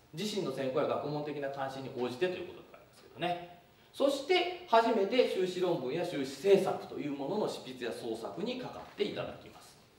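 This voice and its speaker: In a room with audible echo, a man speaks at a fairly quick pace with hardly any pauses, his pitch swinging very widely. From Kumamoto, Japan. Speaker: university professor. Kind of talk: lecture. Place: hall.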